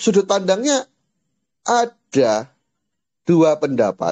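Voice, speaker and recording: A man speaks very slowly in a high voice with a dark, mellow tone. His pitch swings very widely, and the sound is dry and close with no echo. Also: long, frequent pauses. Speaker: Islamic teacher. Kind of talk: lecture.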